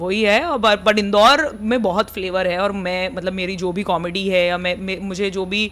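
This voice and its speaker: In an Indori accent, the speaker keeps a moderate pace and fairly even intonation with hardly any pauses. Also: woman, medium pitch for a woman. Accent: Indori Hindi accent, also in her English. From India, Indore (Malwa region). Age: 30s. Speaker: comedian and content creator. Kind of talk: casual podcast interview. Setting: podcast studio.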